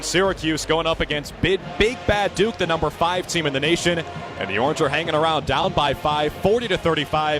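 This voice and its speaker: A man's fairly high pitch with ordinary variation at a fairly quick pace, over noticeable background noise. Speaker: student sports broadcaster. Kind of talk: live college basketball play-by-play. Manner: fast, excited, dynamic.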